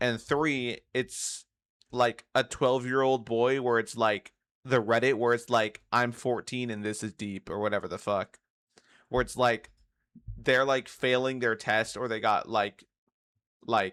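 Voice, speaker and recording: In an unremarkable speaking voice, a man talks at a fairly slow pace with medium pitch and fairly even intonation, recorded very clean against a silent background with a dry, close sound and no echo. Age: 20s. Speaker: streamer reacting to a video. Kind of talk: casual reaction commentary.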